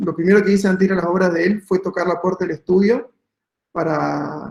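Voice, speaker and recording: With an Argentine accent, a man speaks at a high pitch with fairly even intonation. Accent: Argentine Spanish (voseo). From Argentina, Patagonia (Santa Cruz). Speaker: architect. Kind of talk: talk presentation. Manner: hesitant, many fillers.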